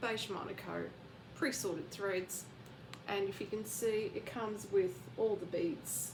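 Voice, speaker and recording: A woman with lively intonation at a fairly slow pace, with audible room echo and noticeable background noise. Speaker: craft vlogger. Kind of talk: casual show-and-tell vlog. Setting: bedroom at home. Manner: quiet, keeping voice down.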